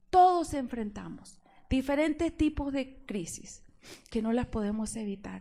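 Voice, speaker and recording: A woman's high-pitched voice with an Argentine accent, fairly slow and lively in intonation, with a dark, mellow tone. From Argentina. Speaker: preacher. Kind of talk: sermon.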